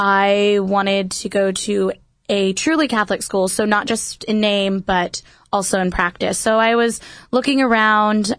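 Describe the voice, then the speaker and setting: A woman with an American accent talks in an unremarkable speaking voice at a medium pitch. Her intonation is fairly even and her loudness very even. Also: quiet background. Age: 20s. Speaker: youth minister. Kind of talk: radio interview. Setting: studio.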